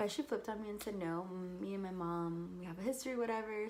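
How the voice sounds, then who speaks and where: Someone with a Californian accent talks at a fairly quick pace against noticeable background noise. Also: woman. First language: Spanish. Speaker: university student. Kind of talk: casual talk to camera.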